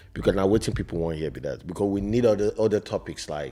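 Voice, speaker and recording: A man's very deep, low voice with vocal fry, dark and mellow in tone, at a very fast pace with ordinary pitch variation. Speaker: podcast co-host. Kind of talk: casual chat.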